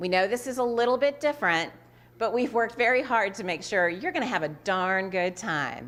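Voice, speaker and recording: A woman with a Southern US accent, fairly high pitch and lively intonation on a very clean recording with a silent background. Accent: Southern drawl. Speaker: nonprofit executive director. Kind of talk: event hosting. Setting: virtual gala livestream.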